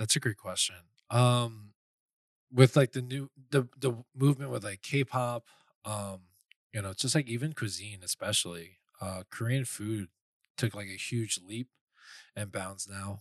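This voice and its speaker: A man with an American accent speaks at a medium pitch and a fairly slow pace, with ordinary pitch variation, long, frequent pauses, and big swings in loudness. The sound is dry and close with no echo, in a very clean recording with a silent background. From New York, Flushing, Queens. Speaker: podcast co-host and waiter. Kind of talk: casual chat.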